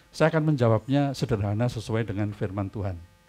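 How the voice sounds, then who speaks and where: A man at a very fast pace, medium-pitched, with music in the background. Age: 70s. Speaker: pastor. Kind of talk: sermon.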